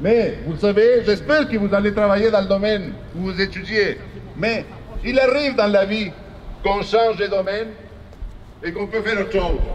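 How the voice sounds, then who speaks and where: The speech has long, frequent pauses and fairly even intonation over noticeable background noise. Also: man. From born outside Quebec. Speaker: politician. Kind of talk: protest speech. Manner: impassioned, rhetorical.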